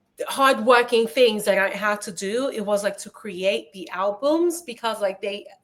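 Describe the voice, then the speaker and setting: A woman with a non-native accent speaks at a fairly high pitch with ordinary pitch variation. Her loudness swings widely, and she hardly pauses. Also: fairly slow pace. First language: not English. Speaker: live stream host. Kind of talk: casual chat. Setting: live stream.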